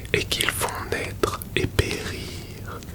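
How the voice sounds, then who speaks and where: A very slow whisper comes through noticeable background noise. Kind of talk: whispered ASMR philosophy reading to help sleep. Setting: close-mic recording with crackling fire ambience in the background. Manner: whispered, soft, slow, intimate close to the microphone.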